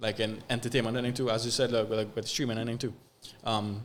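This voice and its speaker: This man speaks at a very fast pace with a Trinidadian accent. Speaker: social media content creator. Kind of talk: podcast interview. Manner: halting, many fillers and repeats.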